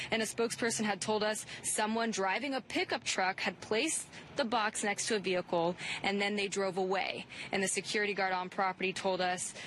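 Noticeable background noise behind a woman at medium pitch with ordinary pitch variation. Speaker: field reporter. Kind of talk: live news report. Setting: outdoors on location. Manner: brisk, clear, professional.

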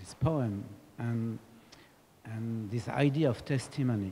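The voice is somewhat breathy with a dark, mellow tone and ordinary pitch variation, moving at a very slow pace over light background noise. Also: man. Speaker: audience member. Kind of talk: question from the floor. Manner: halting. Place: hall. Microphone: handheld.

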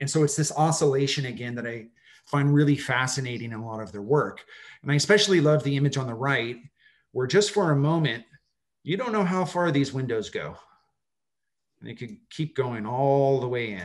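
A man with an American accent talks at a fairly quick clip with lively intonation. His loudness swings widely. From Southern California (Los Angeles, Orange County). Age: 40s. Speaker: architect and professor. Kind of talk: slide presentation. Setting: video call.

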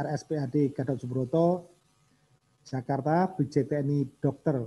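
With a dark, mellow tone, a man speaks in a fairly high, somewhat breathy voice and fairly even intonation. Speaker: government official; event host introducing speaker. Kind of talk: formal speech. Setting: video call. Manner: formal. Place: meeting room. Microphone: podium.

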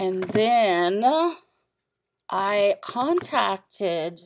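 A woman talks at a medium pitch with lively intonation. Light background noise can be heard behind her. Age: 40s. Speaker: art and craft vlogger; craft vlogger. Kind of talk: casual haul vlog. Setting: at home. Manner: halting, many fillers. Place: home room. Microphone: webcam.

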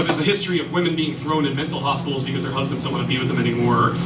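Noticeable background noise sits behind this man. He talks at a fairly high pitch with ordinary pitch variation. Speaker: social worker and spoken word poet. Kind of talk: live lecture performance to an audience. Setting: live venue with audience. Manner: casual, conversational with fillers. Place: stage.

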